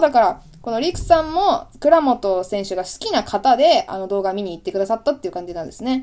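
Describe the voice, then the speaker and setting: A woman with a fairly high pitch and a dark, mellow tone speaks at a fairly quick pace, with very wide pitch swings and big swings in loudness. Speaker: video creator, channel host. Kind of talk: casual chat, audio-only radio episode. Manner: casual, chatty, apologetic.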